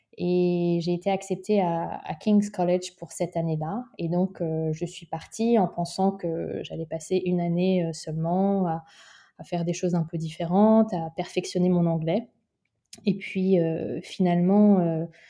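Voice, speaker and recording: The voice has a dark, mellow tone and a monotone, flat delivery at a fairly slow pace, over a quiet background. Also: woman, fairly low pitch for a woman. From Paris region, France. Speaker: social entrepreneur, former international diplomat. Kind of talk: interview. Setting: remote recording. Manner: halting, frequent repetitions and hesitations.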